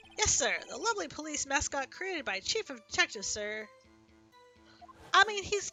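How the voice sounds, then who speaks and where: A woman performs a put-on character voice at a moderate pace, her loudness swinging widely. She leaves long, frequent pauses while faint music plays in the background. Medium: game stream. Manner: eager, says sir constantly.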